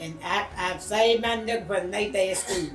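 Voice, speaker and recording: A woman at medium pitch speaks at a moderate pace with a Southern US accent, with music in the background. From Mississippi. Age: 70s. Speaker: retired cotton field worker. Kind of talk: interview answer. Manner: reminiscent, conversational.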